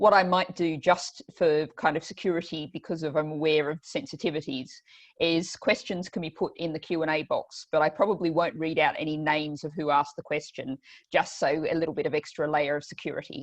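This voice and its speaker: The pace is fairly quick, with ordinary pitch variation. The background is quiet. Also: woman, very deep, low pitch for a woman. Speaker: politician and event host. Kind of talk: online panel introduction. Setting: video call.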